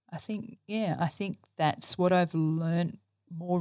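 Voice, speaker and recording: With an Australian accent, a woman speaks at a moderate pace and a fairly low pitch. The recording is very clean, the background silent. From Australia, rural New South Wales (Dubbo). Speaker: church staff member and science teacher. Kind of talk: casual interview, personal testimony. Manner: hesitant, many fillers.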